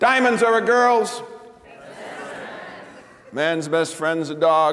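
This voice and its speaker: At a very slow pace, the voice carries lively intonation against noticeable background noise. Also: man, high pitch for a man. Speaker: comedian. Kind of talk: live stand-up comedy performance.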